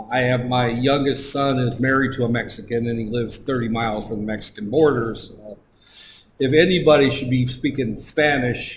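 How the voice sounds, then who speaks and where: A man with an American accent at a medium pitch, fairly quick and fairly even in intonation, with noticeable background noise. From United States. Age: 60s. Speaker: lecturer. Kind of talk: lecture. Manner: halting.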